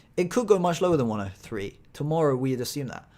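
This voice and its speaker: A man speaks with a British accent at a moderate pace. His intonation is lively. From Britain. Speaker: stock trader streamer. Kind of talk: live trading stream commentary. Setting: live stream. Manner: casual, chatty.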